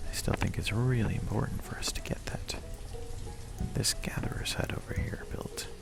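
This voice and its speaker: A man whispering at a moderate pace, with music in the background. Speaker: ASMR gaming video host. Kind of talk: ASMR guided game walkthrough, calming narration. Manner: soft-spoken, whispered, calming.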